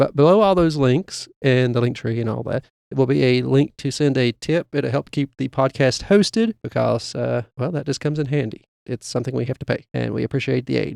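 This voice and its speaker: A man talks at a fairly quick pace in an unremarkable speaking voice of medium pitch, with ordinary pitch variation. The sound is dry and close, with no echo. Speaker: podcast co-host. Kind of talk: podcast outro announcements. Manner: casual, many filler uhs.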